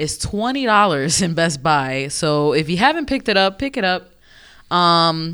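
An animated voice with an American accent on a very clean recording with a silent background. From New York. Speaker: video game podcast co-host. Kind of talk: casual chat.

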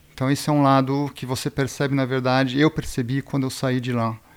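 A man talks fairly quickly at a medium pitch with fairly even intonation. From Brazil and Switzerland. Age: 40s. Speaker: brand founder, snowboarder. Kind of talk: interview. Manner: hesitant, filler-heavy.

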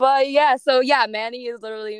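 A woman speaks in a plain, everyday voice at a moderate pace with ordinary pitch variation. The sound is dry and close, with no echo. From New Jersey. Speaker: podcast host. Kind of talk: casual chat.

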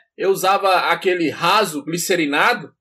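A man's voice, high in pitch. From Bahia, Brazil. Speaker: podcast co-host. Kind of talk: casual chat.

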